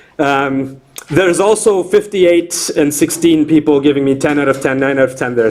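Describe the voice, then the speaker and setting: Ordinary pitch variation against noticeable background noise. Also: man. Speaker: university lecturer. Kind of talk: lecture. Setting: classroom with students. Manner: loud.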